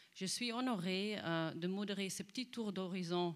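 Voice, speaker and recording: Her pitch is medium for a woman. She speaks at a fairly slow pace. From Netherlands. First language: Dutch (speaking French). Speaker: panel moderator. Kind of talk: moderated panel discussion; reading prepared text. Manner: hesitant.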